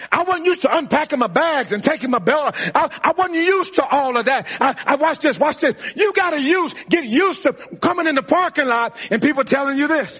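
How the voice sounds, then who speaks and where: With noticeable background noise behind him, a man talks in an animated tone at an extremely high pitch, keeping a fairly quick pace with hardly any pauses, very even loudness and ordinary pitch variation. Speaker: preacher. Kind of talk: sermon. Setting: church with live congregation. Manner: animated, preaching in full flow, call-and-response; repetitive, emphatic, building intensity.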